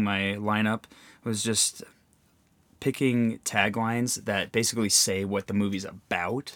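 A plain, everyday voice at a fairly slow pace on a very clean recording with a silent background. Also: man. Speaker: podcast host. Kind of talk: casual chat. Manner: laid-back, joking.

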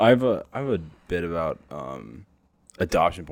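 A man speaks with vocal fry at a very deep, low pitch. His intonation is lively. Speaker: stand-up comedian. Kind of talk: casual chat.

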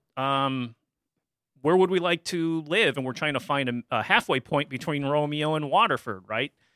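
A man with a Midwestern American accent, fairly high pitch, lively intonation and a moderate pace. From Michigan, US Midwest. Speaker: community media director. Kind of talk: interview.

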